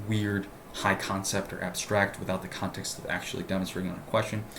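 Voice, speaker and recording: Audible room echo surrounds a man with a fairly low pitch who talks at a fairly quick pace. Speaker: LSAT tutor. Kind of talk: tutorial. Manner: fast. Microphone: laptop mic.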